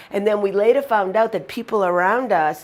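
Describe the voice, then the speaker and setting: In a Boston accent, a woman speaks at a moderate pace in an animated tone with ordinary pitch variation. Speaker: motivational humorist. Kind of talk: humorous storytelling.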